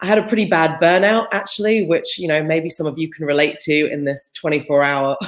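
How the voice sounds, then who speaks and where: With a British accent, a woman talks at a very deep, low pitch and a fairly quick pace, using ordinary pitch variation. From Britain. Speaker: employer branding specialist. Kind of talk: interview.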